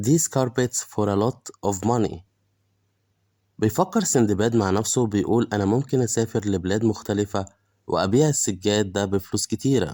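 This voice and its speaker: In a very clean recording with a silent background, a man with an Egyptian accent speaks in a dark, mellow tone at medium pitch, with ordinary pitch variation. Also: dry, close sound with no echo. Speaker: English teacher. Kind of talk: bilingual story reading with translation.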